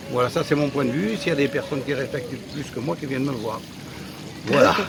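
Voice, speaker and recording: A man talks at a fairly quick pace in a fairly high voice with ordinary pitch variation, over noticeable background noise. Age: 70s. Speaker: animal park owner. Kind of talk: interview. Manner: halting.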